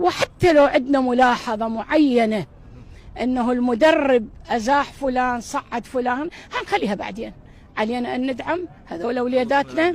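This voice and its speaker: A woman speaks at a fairly slow pace. Her pitch is high, with ordinary pitch variation. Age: 60s. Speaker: football fan. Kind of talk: impassioned appeal. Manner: animated.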